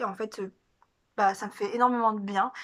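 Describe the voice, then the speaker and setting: A woman's fairly high-pitched voice with fairly even intonation. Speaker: vlogger. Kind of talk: casual vlog monologue. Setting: at home. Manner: fast; hesitant, many fillers.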